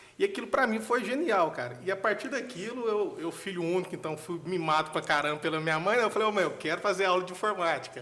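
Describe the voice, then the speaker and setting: Using a raised, projected voice, a man speaks at a high pitch and a very fast pace, with lively intonation and hardly any pauses. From Brazil, Minas Gerais (Nova Serrana). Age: 30s. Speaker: software architect and tech lead. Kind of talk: podcast interview. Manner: casual, conversational.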